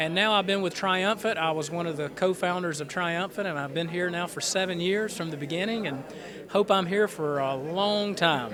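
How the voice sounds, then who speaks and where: A man talks in a Southern US accent at a high pitch. His pitch variation is ordinary, and there is noticeable background noise. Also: moderate pace. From North Carolina, Goldsboro. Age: 30s. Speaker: gospel quartet tenor singer. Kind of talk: radio interview. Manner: halting.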